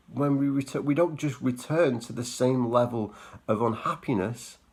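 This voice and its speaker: Vocal fry at a moderate pace with ordinary pitch variation. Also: man. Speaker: quit-smoking coach vlogger. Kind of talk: talking-head vlog monologue. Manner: halting, repeats words.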